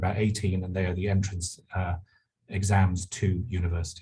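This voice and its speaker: This man has a fairly low pitch and a dark, mellow tone, with a London accent and a somewhat breathy quality. He talks at a moderate pace in a monotone, flat intonation. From England, London. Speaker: university administrator. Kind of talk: panel talk.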